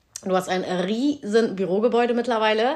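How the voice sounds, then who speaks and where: A woman talks in a normal speaking voice with a fairly high pitch. Her pace is moderate, and the background is quiet. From Cologne, Germany. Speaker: podcast host and small business owner. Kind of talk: casual chat.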